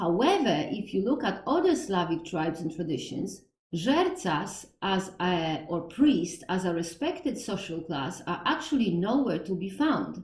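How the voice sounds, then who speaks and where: In a strong Polish accent, a woman at medium pitch talks at a fairly slow pace with very wide pitch swings and hardly any pauses, amid audible room echo. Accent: Polish, thick. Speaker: podcast host on Slavic religion. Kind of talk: educational monologue. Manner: halting, with self-corrections.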